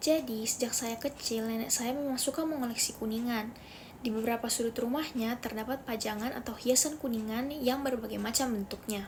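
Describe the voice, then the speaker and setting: With a Makassar accent, a woman talks at a fairly quick pace in a high pitch, her intonation fairly even and hardly any pauses, over noticeable background noise. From Makassar, South Sulawesi, Indonesia. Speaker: university student. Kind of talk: class assignment presentation.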